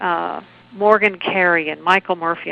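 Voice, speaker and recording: A woman with a normal speaking voice talks at a moderate pace, using a fairly low pitch and fairly even intonation. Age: 60s. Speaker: documentary film producer and activist. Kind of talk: interview. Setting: phone call.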